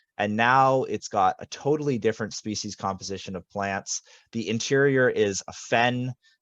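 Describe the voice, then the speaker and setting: Speaking at a moderate pace with ordinary pitch variation, a man uses an ordinary speaking voice in a dry, close sound with no echo. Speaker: land stewardship coordinator. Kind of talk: webinar presentation.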